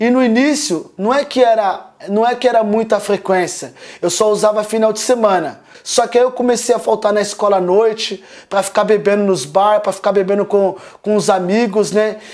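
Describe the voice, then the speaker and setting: A man's high voice at a moderate pace against a quiet background. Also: fairly even intonation. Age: 30s. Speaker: former drug addict, rehab community member. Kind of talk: testimony. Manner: halting, with repetitions. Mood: earnest, emotional. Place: home room. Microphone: phone near.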